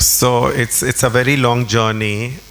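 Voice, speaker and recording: Speaking at a very slow pace, a man is heard over noticeable background noise. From India. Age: 70s. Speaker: interior designer and art collector. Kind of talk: public conversation.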